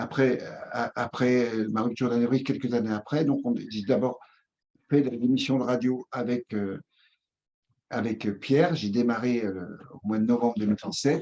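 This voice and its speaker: Speaking at a fairly slow pace with long, frequent pauses, a man uses a medium pitch, ordinary pitch variation and a dark, mellow tone. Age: 60s. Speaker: somatotherapist and former trade union leader. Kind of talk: interview. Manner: halting.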